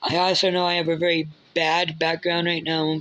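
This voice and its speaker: Against noticeable background noise, a woman with a fairly low voice speaks at a fairly slow pace. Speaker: YouTuber. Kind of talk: casual commentary with reading aloud. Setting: recording on a phone at home. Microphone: phone mic.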